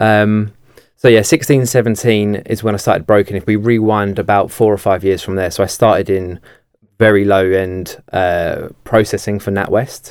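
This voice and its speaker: In a very clean recording with a silent background, a man with a southeast English accent speaks at a fairly low pitch and fairly slow pace, his intonation fairly even. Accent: south-east English. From Kent, south-east England. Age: 20s. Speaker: mortgage broker and sales head. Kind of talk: podcast interview. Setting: studio.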